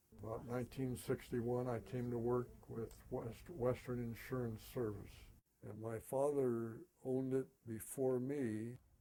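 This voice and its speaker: This man has a dark, mellow tone, medium pitch and fairly even intonation. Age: 80s+. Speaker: retired insurance agent. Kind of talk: interview. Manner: halting.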